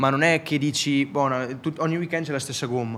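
A man with a plain, everyday voice talks at a moderate pace, his intonation fairly even. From Italy. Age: young. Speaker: motorcycle racer. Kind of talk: casual interview.

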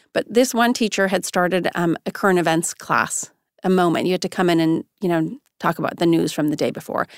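A woman with an American accent and a normal speaking voice, fairly low in pitch, in a dry, close, very clean recording with no echo and a silent background. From Iran, attended an American school there. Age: 50s. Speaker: marketing executive. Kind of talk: interview conversation.

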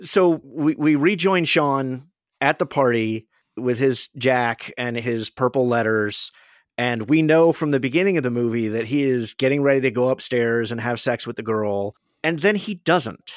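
In a very clean, silent recording with a dry, close sound and no echo, a man at medium pitch speaks at a moderate pace with ordinary pitch variation. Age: 40s. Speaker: podcast host. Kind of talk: casual chat.

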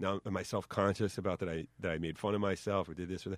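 With a New York accent, a man speaks in a very deep, low pitch on a very clean recording with a silent background. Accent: New York, noticeable. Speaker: lawyer and rapper.

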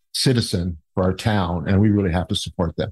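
In a dry, close sound with no echo and a quiet background, a man speaks at a moderate pace with a very deep, low pitch. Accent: Canadian. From Ontario, Canada (Niagara Falls). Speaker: mayoral candidate. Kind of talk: interview.

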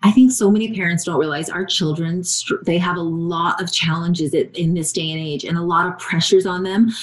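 A woman's fairly low voice moves at a fairly quick pace, her intonation fairly even, with noticeable background noise throughout. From Hawaii. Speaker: podcast host. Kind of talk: casual chat.

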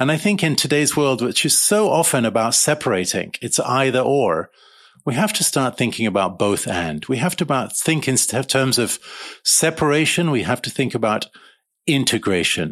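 Pitch swings very widely as this man speaks. He has vocal fry and a moderate pace. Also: medium pitch for a man, very clean recording, silent background. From East Africa (Uganda, Kenya). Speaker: architect and author. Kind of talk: interview.

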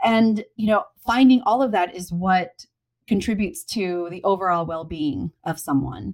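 This woman has an unremarkable speaking voice with an American accent. Her pitch is medium and varies in an ordinary way. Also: moderate pace. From US Appalachia. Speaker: cookbook author and homesteader. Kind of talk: casual interview chat.

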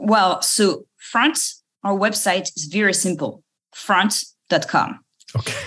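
A woman's bright, sharp, medium-pitched voice with lively intonation at a very slow pace. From France, Paris suburbs. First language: French. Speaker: startup founder and CEO. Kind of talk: interview.

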